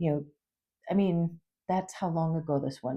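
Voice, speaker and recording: With an Upper Midwest US accent, a woman speaks in a dark, mellow tone at a fairly low pitch with fairly even intonation against a quiet background. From Minnesota. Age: 60s. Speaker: YouTuber and substitute teacher. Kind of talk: casual vlog talk to camera. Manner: halting, many fillers.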